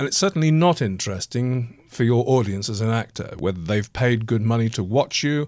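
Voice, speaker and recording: A man with an English accent talks at a medium pitch with lively intonation and hardly any pauses. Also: fairly quick pace, very clean recording, silent background. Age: 60s. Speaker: actor and podcast host. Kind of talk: personal monologue podcast.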